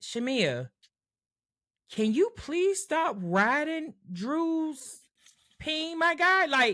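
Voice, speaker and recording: A loud, bright, sharp voice at a very slow pace, with very wide pitch swings and long, frequent pauses, on a very clean recording with a silent background. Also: woman, high pitch for a woman. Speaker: podcast co-host. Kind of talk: casual chat.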